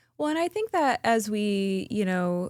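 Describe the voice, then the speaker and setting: In a very clean recording with a silent background, an unremarkable speaking voice goes at a fairly slow pace with ordinary pitch variation. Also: woman. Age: 40s. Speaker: leadership and life coach. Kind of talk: casual interview chat.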